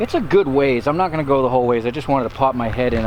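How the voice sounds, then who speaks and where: Noticeable background noise is present. Through it, a man talks at a fairly quick pace. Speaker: metal detecting vlogger. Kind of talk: casual vlog narration. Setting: outdoors.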